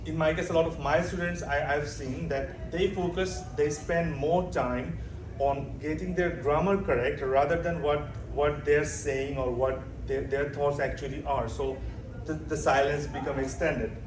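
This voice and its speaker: A man with a Bengali accent speaks at a fairly high pitch and a moderate pace, with fairly even intonation. Noticeable background noise and audible room echo are present. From Bangladesh. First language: Bangla. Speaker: doctoral student presenter. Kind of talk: conference presentation. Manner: halting, many fillers and self-corrections.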